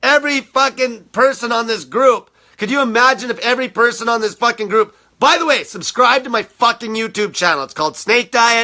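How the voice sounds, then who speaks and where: Speaking at a fairly quick pace, a man with an extremely high pitch and a bright, sharp tone raises and projects his voice, using ordinary pitch variation on a very clean recording with a silent background. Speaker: diet coach. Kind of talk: rant. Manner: aggressive; animated.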